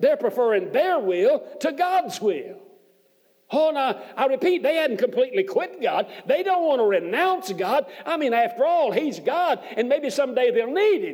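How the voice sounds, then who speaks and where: A man talks at a moderate pace in an extremely high voice. His pitch swings very widely. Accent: Southern US. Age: 60s. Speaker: preacher. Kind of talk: sermon. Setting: church.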